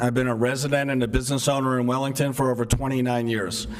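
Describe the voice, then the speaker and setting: Over noticeable background noise and audible room echo, a man of medium pitch talks at a fairly quick pace. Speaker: resident speaking at public meeting. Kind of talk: public comment. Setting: town hall meeting.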